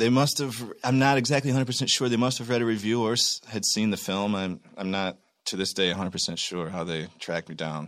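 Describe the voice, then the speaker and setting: A man with an American accent talks very fast with hardly any pauses. His pitch is fairly low, with ordinary variation. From Michigan, US. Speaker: actor. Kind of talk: casual interview chat.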